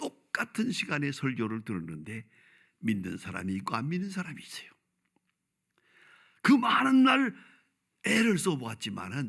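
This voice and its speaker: Pausing long and often at a fairly slow pace, a man talks with vocal fry, very wide pitch swings and big swings in loudness. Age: 80s+. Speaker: pastor. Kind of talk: sermon.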